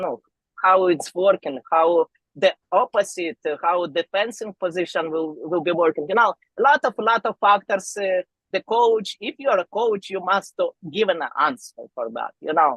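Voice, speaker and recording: A woman with a non-native accent at medium pitch, lively intonation, and a dry, close sound with no echo. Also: moderate pace. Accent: foreign. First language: not English. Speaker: arm wrestler. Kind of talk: podcast interview. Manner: halting.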